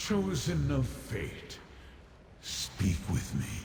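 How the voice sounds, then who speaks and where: A man puts on a character voice at a very deep, low pitch, with clear echo and clear background noise. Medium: game stream. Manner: imperious.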